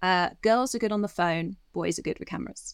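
A woman talks at a medium pitch with vocal fry. The recording is very clean, with a silent background. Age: 40s. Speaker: documentary director. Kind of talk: interview.

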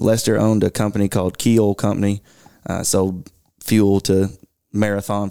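A man with a Kentucky accent, fairly low in pitch, dark and mellow in tone, monotone and flat, at a fairly quick pace, in a dry, close sound with no echo. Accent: Southern US (Kentucky). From Kentucky (Bowling Green). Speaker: conservation group regional director. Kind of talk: casual interview. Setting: studio conference room.

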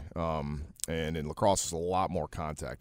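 In a very clean recording with a silent background, a man speaks at a very deep, low pitch with vocal fry and fairly even intonation. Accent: Midwestern US. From Detroit, Michigan. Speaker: CFO of a family business. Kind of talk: casual interview chat. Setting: studio with radio headphones.

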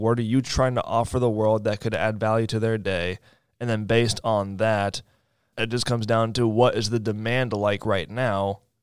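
In a very clean recording with a silent background, a man with an American accent and an ordinary speaking voice talks at a moderate pace, medium pitch and fairly even intonation. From Raleigh, North Carolina. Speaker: social media marketer. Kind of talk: casual interview. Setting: studio.

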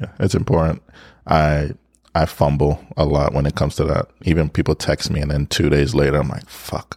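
In a dry, close recording with no echo, a man with a very deep, low voice talks at a moderate pace and with fairly even intonation. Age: 30s. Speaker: podcast co-host. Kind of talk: casual chat.

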